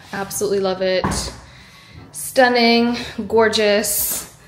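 A woman speaks over light background noise. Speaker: vlogger. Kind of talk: casual vlog chat. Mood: excited, pleased. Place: empty room. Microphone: phone near.

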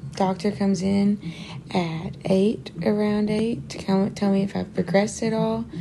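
A woman's moderately paced speech, with ordinary pitch variation, comes through noticeable background noise. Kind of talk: casual vlog chat. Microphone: phone near.

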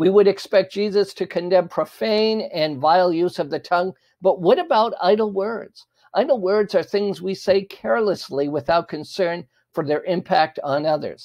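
A voice with normal pitch movement speaks at a moderate pace against a quiet background. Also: man, high pitch for a man. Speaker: religious teacher. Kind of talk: sermon. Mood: calm, smiling, earnest. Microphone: lapel.

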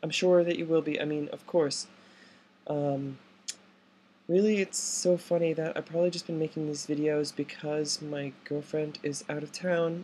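Over light background noise, a woman with a very deep, low pitch speaks at a moderate pace with fairly even intonation. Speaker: transgender woman in voice training. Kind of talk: casual talk to camera. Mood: candid, slightly emotional. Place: home room. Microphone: webcam.

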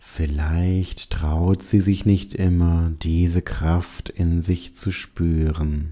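The calm, soothing voice moves at a very slow pace with hardly any pauses on a very clean recording with a silent background. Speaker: meditation guide. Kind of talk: guided meditation. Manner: soft, calm and slow, soothing, with pauses; gentle, warm, addressing the listener as du.

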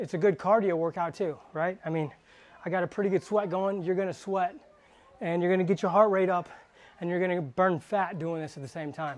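At a moderate pace, a man with a high pitch speaks in fairly even intonation. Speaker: fitness trainer. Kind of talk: tutorial. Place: gym.

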